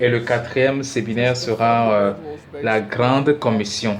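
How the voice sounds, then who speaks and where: Amid noticeable background noise and audible room echo, a man speaks at a medium pitch and a fairly slow pace. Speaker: preacher teaching a seminar. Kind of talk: teaching sermon. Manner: hesitant, many filler sounds.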